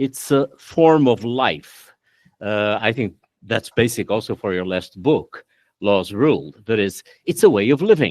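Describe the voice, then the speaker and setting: Fairly slow and lively in intonation, the speech has a dry, close sound with no echo, a very clean recording and a silent background. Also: man, medium pitch for a man. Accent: Portuguese. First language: Portuguese. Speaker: law professor. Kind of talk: academic discussion after a lecture. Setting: auditorium. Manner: halting.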